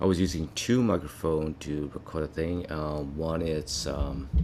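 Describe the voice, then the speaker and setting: Here is a man with a very deep, low pitch. He speaks at a fairly slow pace. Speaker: photography hobbyist and camera strap maker vlogger. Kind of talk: casual vlog monologue. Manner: halting, many fillers.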